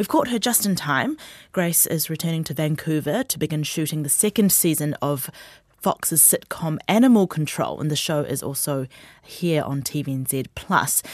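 Lively intonation marks this woman's New Zealand accent. Her pitch is very deep and low, and her pace is moderate. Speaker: radio host. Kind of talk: radio interview. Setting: studio.

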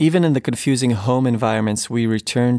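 A man with an Israeli accent speaks at a medium pitch in a very clean recording with a silent background. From Israel, Ashdod. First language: Hebrew. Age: 30s. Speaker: writer and filmmaker. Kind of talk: reading aloud.

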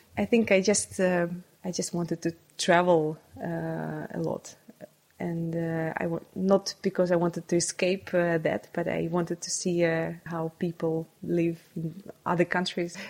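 A woman speaks fairly slowly with a Russian accent. Her voice is fairly low in pitch, with monotone, flat intonation. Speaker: neuroscientist. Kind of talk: interview.

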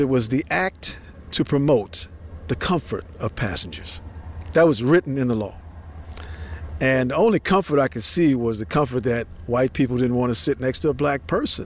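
The man's voice sits at a medium pitch. It swings very widely up and down. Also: moderate pace. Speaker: descendant and civil rights advocate. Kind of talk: interview.

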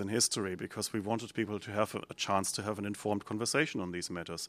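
A man with a German accent at a very fast pace, on a very clean recording with a silent background. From Germany. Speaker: think tank director. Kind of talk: panel discussion.

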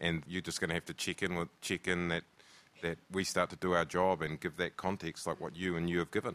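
A man with a New Zealand accent speaks at a fairly quick pace in a very deep, low voice with monotone, flat intonation. The recording is very clean, with a silent background. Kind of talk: panel discussion. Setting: stage with live audience.

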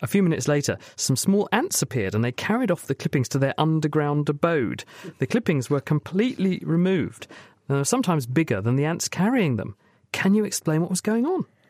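Talking at a fairly quick pace in a British accent, a man with fairly high pitch makes very wide pitch swings, the sound dry and close with no echo. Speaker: science radio host. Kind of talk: radio science Q&A panel. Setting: studio.

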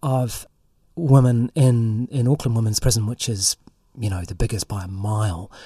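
A man with a New Zealand accent speaks at a moderate pace and a medium pitch, in a dark, mellow tone that is somewhat breathy, with ordinary pitch variation. The recording is very clean and dry, with a close sound, no echo, and a silent background. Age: 50s. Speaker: investigative journalist. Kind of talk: interview conversation. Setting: studio.

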